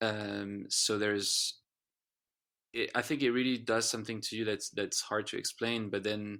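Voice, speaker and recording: A bright, sharp tone in a French accent, fairly slow, with monotone, flat intonation. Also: man. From France. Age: 30s. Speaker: singer-songwriter. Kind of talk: podcast interview. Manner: halting, many restarts and repeats.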